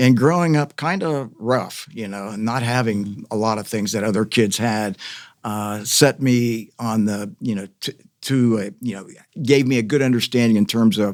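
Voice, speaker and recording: A man with an American accent talks at a moderate pace and medium pitch, with ordinary pitch variation. The recording is very clean, the background silent. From US Midwest, Columbus, Ohio. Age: 60s. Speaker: former mayoral candidate, community advocate. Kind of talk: podcast interview. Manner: halting, many fillers.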